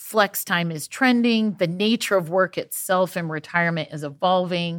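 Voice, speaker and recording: In a very clean recording with a silent background, a woman talks at a moderate pace. She has an ordinary speaking voice, fairly low in pitch, with ordinary pitch variation. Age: 40s. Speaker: podcast host. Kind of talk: casual interview.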